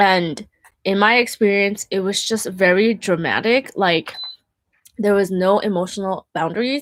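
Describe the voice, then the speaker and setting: Using a normal speaking voice, a woman talks at a fairly slow pace with medium pitch and ordinary pitch variation. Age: 30s. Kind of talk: casual monologue. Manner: casual, filler-heavy.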